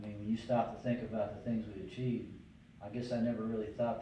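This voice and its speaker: A man with an American accent at a very fast pace, medium pitch and flat, monotone intonation, amid noticeable background noise and audible room echo. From Northeast Pennsylvania. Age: 60s. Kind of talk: interview.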